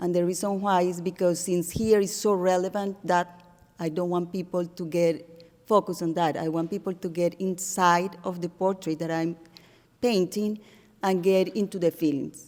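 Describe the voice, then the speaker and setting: A woman with a Spanish accent talks at a moderate pace in a fairly low pitch, her intonation monotone and flat. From Colombia. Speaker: artist. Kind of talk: artist talk to audience. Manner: halting.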